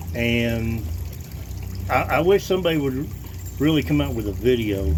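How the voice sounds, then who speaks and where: A man's voice at a moderate pace with very wide pitch swings, plus audible room echo and noticeable background noise. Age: 50s. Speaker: gold prospector. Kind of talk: casual tutorial. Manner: halting, with many fillers and repetitions.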